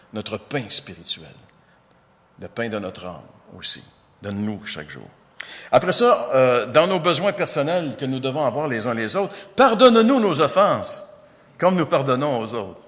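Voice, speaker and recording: A man speaks at a moderate pace, leaving long, frequent pauses. His loudness swings widely. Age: 60s. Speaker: pastor. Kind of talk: sermon.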